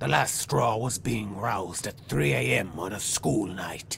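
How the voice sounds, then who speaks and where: A man puts on a raspy character voice with a very deep, low pitch, speaking fairly slowly against clear background noise. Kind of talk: dramatic monologue. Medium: video game.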